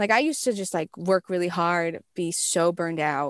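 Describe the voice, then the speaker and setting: With a plain, everyday voice, a woman speaks at a moderate pace and fairly low pitch in a dry, close sound with no echo over a quiet background. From US West Coast. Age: 20s. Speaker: musical theater performer and composer. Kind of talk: casual interview. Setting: remote call from her closet.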